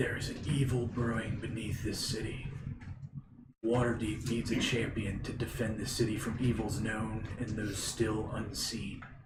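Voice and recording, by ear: A man does a put-on character voice at medium pitch and a moderate pace. His intonation is monotone and flat, with clear background noise.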